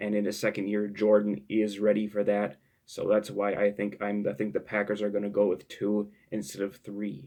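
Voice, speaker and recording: Speaking quietly at a moderate pace, a man with a fairly low pitch keeps a monotone, flat intonation and a dark, mellow tone. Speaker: sports YouTuber. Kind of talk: casual commentary. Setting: home at night. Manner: halting.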